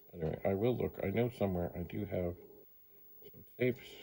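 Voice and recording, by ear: A man with a low, dark, mellow voice, vocal fry and a slightly husky edge speaks at a fairly quick pace with ordinary pitch variation.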